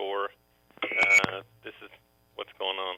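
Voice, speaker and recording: A man speaks with a Southern accent. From US South, Memphis, Tennessee. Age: 50s. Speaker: businessman. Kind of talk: testimony. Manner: halting.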